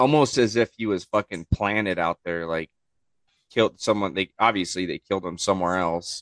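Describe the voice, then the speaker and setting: In an unremarkable speaking voice, a man with a fairly low pitch shows ordinary pitch variation, recorded dry and close with no echo against a quiet background. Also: fairly quick pace. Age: 30s. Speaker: chef, podcast guest. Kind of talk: casual chat.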